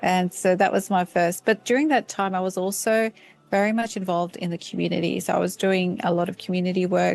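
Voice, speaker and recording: Here a woman talks at a fairly quick pace with an Australian accent. Her pitch is medium and her intonation fairly even. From Australia, Sydney. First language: Turkish. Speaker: professor. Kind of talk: interview. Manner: halting, many fillers.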